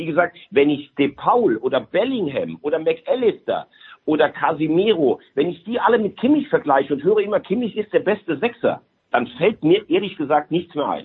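Moderate-paced speech from a man, high in pitch and full of very wide pitch swings. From Rhineland, Germany.

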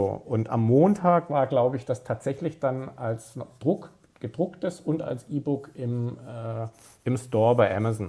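The man's tone is dark, mellow and somewhat breathy. His pitch varies in an ordinary way. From Stuttgart, southwest Germany. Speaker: sports journalist. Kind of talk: casual chat.

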